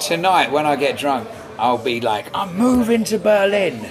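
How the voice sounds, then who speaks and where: In an Essex accent, a man speaks at a moderate pace with very wide pitch swings. Audible room echo and noticeable background noise surround his voice. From England, Braintree, Essex. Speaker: folk singer-songwriter. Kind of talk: casual interview. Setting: corner of a restaurant.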